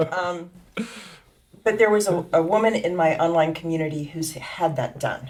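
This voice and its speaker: Against noticeable background noise, a woman with a fairly low pitch speaks with long, frequent pauses. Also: ordinary pitch variation, moderate pace. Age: 60s. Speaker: patient. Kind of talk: testimony.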